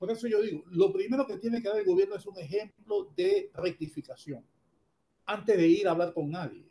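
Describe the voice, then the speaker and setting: Moving at a fairly quick pace, this voice carries a dark, mellow tone. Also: man. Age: 70s. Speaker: economist. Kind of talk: radio interview.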